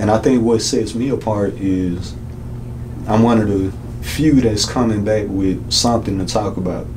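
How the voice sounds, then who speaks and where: Through noticeable background noise and audible room echo, a man is heard speaking. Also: fairly low pitch for a man, ordinary pitch variation, moderate pace. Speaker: rapper and instrumentalist. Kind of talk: interview.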